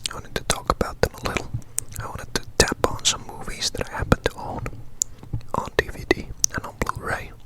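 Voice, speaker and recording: Whispering at a fairly quick pace, the speaker leaves long, frequent pauses over noticeable background noise. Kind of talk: ASMR whispered talk. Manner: whispered, soft-spoken.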